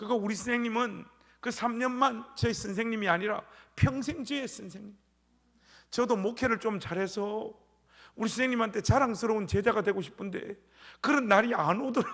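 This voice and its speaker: Animated and high-pitched, a man with a Gyeongsang accent talks at a moderate pace with long, frequent pauses. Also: ordinary pitch variation. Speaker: pastor. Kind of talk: sermon.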